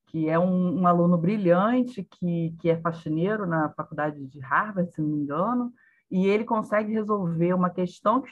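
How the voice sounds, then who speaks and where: A woman speaks at a moderate pace in a fairly low, somewhat breathy voice. Her intonation is lively. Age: 50s. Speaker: knowledge management specialist. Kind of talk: casual chat. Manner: halting.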